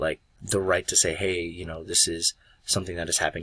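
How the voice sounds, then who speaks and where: A man talks at a very fast pace with a very deep, low pitch. His tone is bright and sharp, his intonation monotone and flat. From Philippines. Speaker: student, personal trainer. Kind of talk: class presentation. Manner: hesitant, many fillers.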